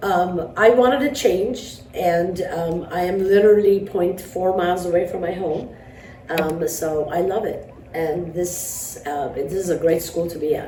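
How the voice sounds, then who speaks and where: A woman with a fairly low pitch and ordinary pitch variation talks at a fairly slow pace, with noticeable background noise and audible room echo. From New York. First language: Armenian. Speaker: math teacher. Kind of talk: interview. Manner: hesitant, many fillers.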